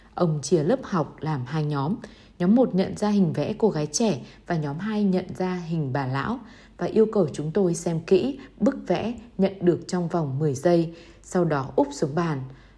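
Somewhat breathy and dark, mellow in tone, a woman talks at a fairly slow pace with fairly low pitch and lively intonation. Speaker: audiobook reader. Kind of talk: reading aloud.

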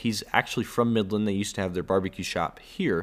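Fairly low-pitched man with a Texan accent, in a very clean recording with a silent background. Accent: Texan (US Southern) English. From Texas. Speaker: podcast host. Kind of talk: casual solo monologue. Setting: indoors, home recording spot. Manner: halting, many fillers. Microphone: solo close to microphone, new headphones.

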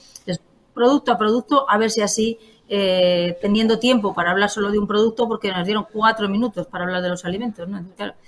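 A woman's medium-pitched voice at a very fast pace, with fairly even intonation. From Spain, Palencia. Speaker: member of parliament. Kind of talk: political interview.

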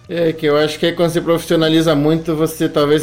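Noticeable background noise behind a man's voice, fairly high in pitch, with ordinary pitch variation. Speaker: travel YouTuber. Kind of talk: casual interview.

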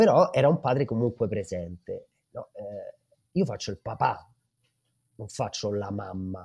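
Against a quiet background, a man talks at a fairly slow pace with big swings in loudness. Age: 30s. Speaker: father of two, parenting social media creator. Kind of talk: casual chat.

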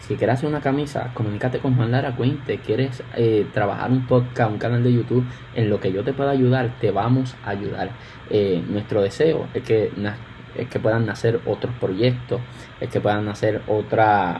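Amid noticeable background noise, a man of medium pitch talks at a moderate pace with fairly even intonation. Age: 20s. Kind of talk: casual chat. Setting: remote recording.

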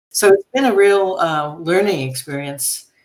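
Lively intonation marks a woman speaking with an American accent. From US Northeast, New York City. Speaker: university president. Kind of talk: interview.

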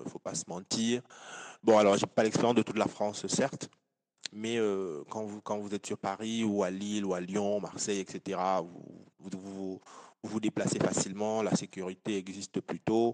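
With a dry, close sound and no echo, a man speaks at a fairly low pitch and a moderate pace in a flat monotone, leaving long, frequent pauses. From Cameroon. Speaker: engineer and entrepreneur. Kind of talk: interview.

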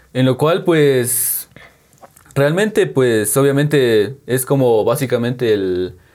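A man's voice at a medium pitch, very slow in pace. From Guatemala, San Juan Comalapa. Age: 20s. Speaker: painter and tattoo artist. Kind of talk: interview. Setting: on location in hometown.

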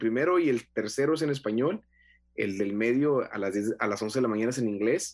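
The voice moves with ordinary pitch variation while music plays in the background. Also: man. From Mexico, Monterrey (Nuevo León). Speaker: pastor and evangelist. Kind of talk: casual interview.

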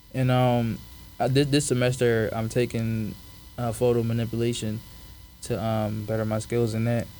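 With a Philadelphia accent, a man speaks at a moderate pace in a dark, mellow tone with monotone, flat intonation. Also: medium pitch for a man. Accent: Philadelphia American English. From Philadelphia, US (born in Africa). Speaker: college student podcast host. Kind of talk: casual solo podcast monologue. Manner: casual, halting with fillers.

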